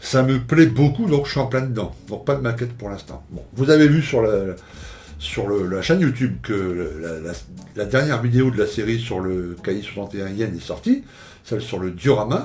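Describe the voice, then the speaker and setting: Lively intonation from a man at a medium pitch, with audible room echo. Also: moderate pace, big swings in loudness. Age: 60s. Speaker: scale model YouTuber. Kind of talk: casual vlog monologue. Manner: hesitant, many fillers and repetitions.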